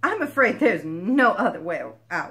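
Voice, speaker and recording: The speaker keeps to a moderate pace. It is delivered in a put-on character voice. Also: woman. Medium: read story. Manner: wry, sarcastic.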